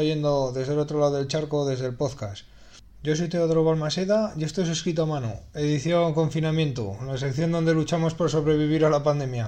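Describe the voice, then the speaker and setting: A man's fairly high voice, an ordinary speaking voice, at a fairly quick pace with ordinary pitch variation. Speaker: radio host. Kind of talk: radio music show presentation.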